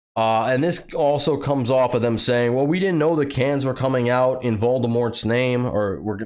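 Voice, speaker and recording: Audible room echo surrounds a man's medium-pitched voice. He talks at a fairly quick pace with ordinary pitch variation. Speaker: political commentary youtuber; factory worker. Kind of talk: commentary reading news with sarcastic asides.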